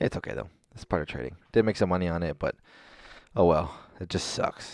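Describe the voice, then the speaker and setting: Using lively intonation, a man with a very deep, low pitch and vocal fry makes big swings in loudness. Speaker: stock trader recapping trades. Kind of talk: screen-share trading recap. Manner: fast; halting, filler-heavy.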